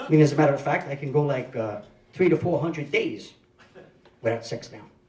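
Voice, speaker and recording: A man at fairly high pitch and a fairly quick pace, with audible room echo. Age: 50s. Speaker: stand-up comedian. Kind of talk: stand-up. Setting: stage with audience.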